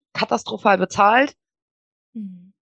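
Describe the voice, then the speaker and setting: A woman at medium pitch, with a dry, close sound and no echo. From western Germany (Wuppertal, Bergisches Land). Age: 30s. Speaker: virtual assistant. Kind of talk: podcast interview.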